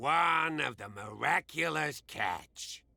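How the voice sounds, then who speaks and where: Slow-ish and raspy, a man performs a put-on character voice at a fairly high pitch, with very wide pitch swings and a fairly slow pace. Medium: actual play.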